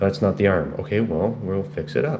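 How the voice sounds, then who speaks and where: Audible room echo and noticeable background noise surround a man speaking at a moderate pace in a fairly low pitch. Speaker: painter. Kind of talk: casual painting livestream talk. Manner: halting, repetitive stammers.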